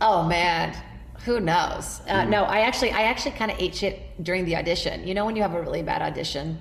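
In audible room echo and noticeable background noise, a woman speaks at a very fast pace. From Brazil. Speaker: comedian and TV host. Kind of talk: casual chat.

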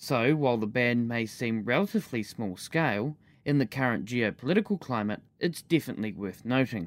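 Against a silent background on a very clean recording, a man with a normal speaking voice at medium pitch talks fairly quickly with lively intonation and hardly any pauses. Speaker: podcast news presenter. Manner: formal, even-paced and measured; clear and neutral, with crisp delivery of numbers.

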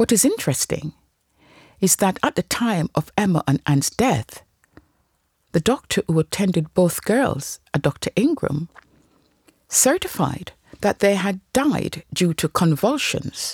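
In a dry, close sound with no echo, a somewhat breathy woman speaks at a medium pitch and a fairly slow pace, with long, frequent pauses, very wide pitch swings and very even loudness. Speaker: true crime podcaster. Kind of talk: true-crime narration, scripted and told as a story. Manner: grave, measured storyteller pace.

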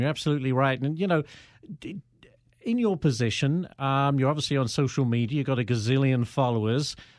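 In a very clean recording with a silent background, a man speaks fairly quickly with an American accent in a plain, everyday voice, medium in pitch with ordinary pitch variation. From outside the US. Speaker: podcast host and journalist. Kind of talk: casual interview. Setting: studio.

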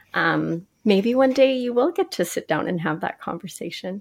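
A woman, a plain, everyday voice, talks at a moderate pace with ordinary pitch variation. The recording is very clean, the background silent. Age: 40s. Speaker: podcast host and educator. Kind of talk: interview.

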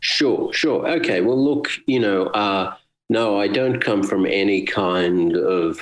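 Someone with an Australian accent talks at a very slow pace. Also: man. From Australia, Brisbane. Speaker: musician. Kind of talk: interview. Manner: hesitant, many fillers.

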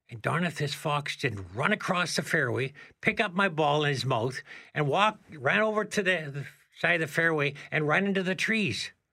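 A bright, sharp voice with vocal fry moves through lively intonation in a very clean recording with a silent background. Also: man. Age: 70s. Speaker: amateur golfer. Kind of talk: casual chat.

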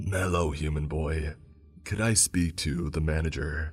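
A put-on character voice from a man, very deep and low, raspy, at a fairly slow pace, with clear music in the background. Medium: read story. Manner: mockingly formal greeting.

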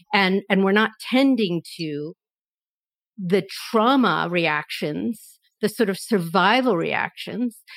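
A woman with an American accent speaks very slowly at a medium pitch, her intonation lively. The sound is dry and close, with no echo. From US, Philadelphia. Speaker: institute communications director and activist. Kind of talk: reflective panel conversation.

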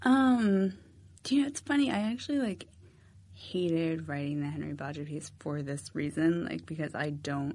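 Speaking with an American accent, a woman uses a normal speaking voice at a fairly low pitch. Her intonation is lively and her pace moderate. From Massachusetts. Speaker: magazine writer. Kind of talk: interview.

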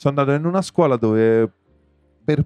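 Dry and close, this man's voice carries no echo at all. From Rome. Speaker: musician. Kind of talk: casual chat.

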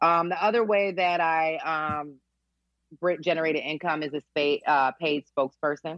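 The speaker has a Philadelphia accent and a moderate pace. The intonation stays fairly even. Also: woman, very deep, low pitch for a woman. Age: 30s. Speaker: nurse turned business coach and speaker. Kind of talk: interview conversation.

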